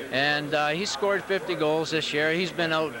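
A man speaks at a fairly high pitch and a fairly quick pace, with fairly even intonation. The sound is dry with no echo, though there's noticeable background noise. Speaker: proud father of player. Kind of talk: casual interview; interview answer. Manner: halting, emotional. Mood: proud, relaxed. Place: hall. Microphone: handheld.

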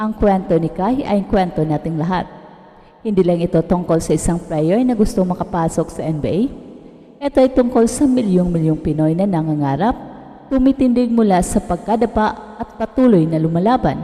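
Noticeable background noise beneath a moderate pace and lively intonation. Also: woman. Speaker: sports news narrator. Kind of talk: scripted narration.

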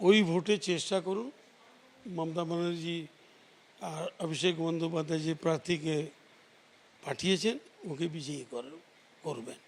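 Intonation stays fairly even as a man speaks in a high pitch. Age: 60s. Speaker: local politician. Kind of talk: news interview. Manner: halting.

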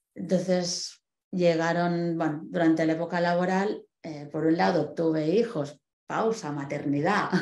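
In a room with audible echo, a woman speaks at a fairly slow pace with a fairly low pitch and a dark, mellow tone. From Spain, Barcelona; Catalonia, Spain. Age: 40s. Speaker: guest. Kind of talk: personal testimony talk. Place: home room.

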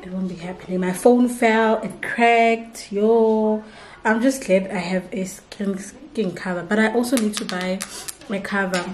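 The delivery is fairly slow, with few pauses and fairly even intonation. Audible room echo surrounds the voice. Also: woman, medium pitch for a woman.

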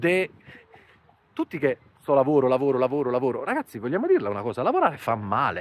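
A man talks at a very fast pace in an animated tone, with ordinary pitch variation and long, frequent pauses. The sound is dry, with no echo. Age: 40s. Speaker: finance YouTuber. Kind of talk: vlog monologue. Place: garden. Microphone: lapel.

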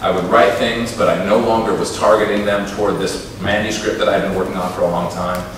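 A man with an American accent talks at a fairly quick pace, his pitch fairly low and his intonation monotone and flat. Strong room echo and light background noise are present. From United States, Minnesota. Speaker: poet. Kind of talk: talk between poems at a poetry reading. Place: stage.

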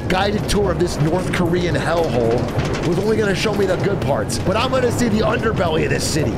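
A fairly quick male voice with loud noise in the background. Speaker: streamer. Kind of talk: casual stream commentary. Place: home room. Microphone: studio mic.

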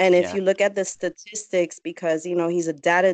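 A woman speaks in a dry sound with no echo. The background is quiet. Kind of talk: interview answer. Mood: emotional, voice may crack. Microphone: video call.

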